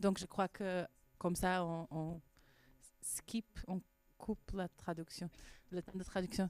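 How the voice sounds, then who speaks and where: A woman's medium-pitched voice with a non-native accent, flat monotone intonation, a very slow pace, long and frequent pauses, and a dry, close sound with no echo. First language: Portuguese (speaking French). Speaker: filmmaker. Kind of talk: festival Q&A. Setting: cinema with live audience. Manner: halting, repeating words.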